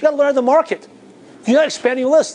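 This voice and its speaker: A man's voice against noticeable background noise. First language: Chinese. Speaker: business coach. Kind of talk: motivational seminar talk.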